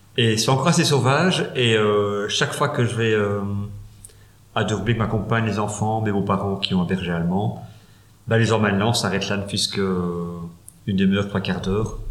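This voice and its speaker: Fairly quick pace from a man with very even loudness, ordinary pitch variation, long, frequent pauses and audible room echo. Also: fairly low pitch for a man. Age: 40s. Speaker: funeral administration advisor. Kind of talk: interview.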